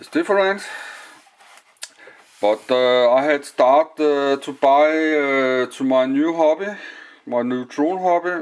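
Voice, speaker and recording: Speaking with a Danish accent, a man has a fairly high pitch. He goes at a very slow pace with long, frequent pauses. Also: ordinary pitch variation. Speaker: hobbyist vlogger. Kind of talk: casual video blog. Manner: halting, many filler sounds.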